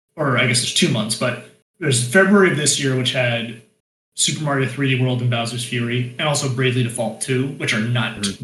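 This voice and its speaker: A man with a normal speaking voice talks at a fairly quick pace and medium pitch with ordinary pitch variation. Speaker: guest, games writer. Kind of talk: casual chat.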